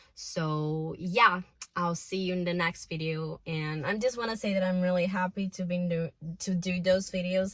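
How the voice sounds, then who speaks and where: A woman with a Brazilian Portuguese accent speaks at medium pitch with fairly even intonation. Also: moderate pace. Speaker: self-improvement vlogger. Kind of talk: casual vlog monologue. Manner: emotional.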